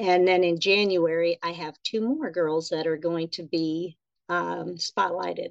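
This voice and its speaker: At a fairly slow pace, a woman talks in an ordinary speaking voice. Her pitch is fairly low. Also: fairly even intonation. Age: 40s. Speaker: nurse and writer. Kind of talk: casual chat.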